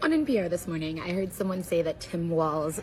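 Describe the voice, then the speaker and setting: A woman at a fairly quick pace, over noticeable background noise. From Central Ohio, US. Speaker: linguist. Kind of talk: educational explainer talk to camera.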